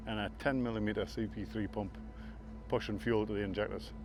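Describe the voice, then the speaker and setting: A man speaks with a northeast English accent at a moderate pace. There is music in the background. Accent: northeast English, a bit Scottish-like. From northeast England. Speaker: land speed racing team owner. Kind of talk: casual interview.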